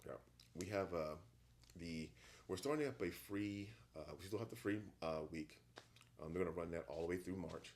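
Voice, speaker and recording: With an American accent, a man speaks at a moderate pace in a very deep, low pitch, using ordinary pitch variation and long, frequent pauses. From Virginia Beach, Virginia. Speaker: gym owner. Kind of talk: casual chat.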